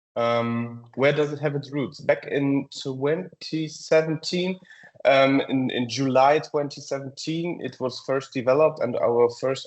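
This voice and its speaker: A man's fairly high voice with a German accent. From Germany, near Frankfurt. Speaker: software company presenter. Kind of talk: webinar presentation. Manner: hesitant, many fillers.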